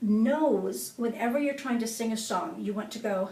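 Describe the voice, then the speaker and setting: A fairly high-pitched woman's voice, dark and mellow in tone, with ordinary pitch variation and audible room echo. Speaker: singing coach. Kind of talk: tutorial.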